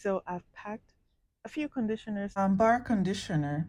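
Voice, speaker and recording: A soft-spoken woman talks at a moderate pace in a medium-pitched, somewhat breathy voice with ordinary pitch variation. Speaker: hair and travel vlogger. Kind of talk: tutorial. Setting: hotel room.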